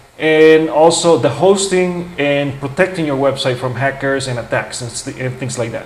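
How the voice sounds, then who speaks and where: The man's fairly high voice moves at a moderate pace with ordinary pitch variation, and audible room echo surrounds it. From grew up mostly in the US, non-English-speaking origin. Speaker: YouTuber, blogger. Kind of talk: tutorial. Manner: casual, halting with restarts.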